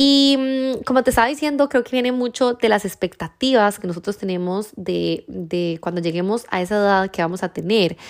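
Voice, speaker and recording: A woman with a normal speaking voice, medium pitch, lively intonation, a moderate pace and hardly any pauses. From Costa Rica. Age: 30s. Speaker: podcast host. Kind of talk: casual monologue.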